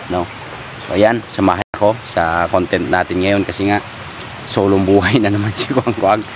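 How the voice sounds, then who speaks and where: A man talks at a moderate pace with noticeable noise in the background. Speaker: fishing vlogger. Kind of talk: casual vlog narration. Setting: outdoors by a stream.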